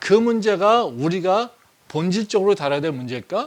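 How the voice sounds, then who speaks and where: Very clean and set against a silent background, the recording has a man talking at a fairly quick pace with very wide pitch swings. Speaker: pastor. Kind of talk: sermon.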